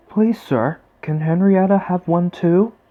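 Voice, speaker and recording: A man's high-pitched, put-on character voice with a gentle tone at a fairly slow pace. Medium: read story. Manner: innocent, gentle.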